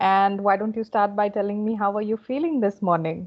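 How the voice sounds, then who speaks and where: A woman with an Indian accent talks at a fairly quick pace, using a warm tone and fairly even intonation. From India, Kolkata. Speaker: communication coach. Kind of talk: casual interview conversation. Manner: fluent, warm.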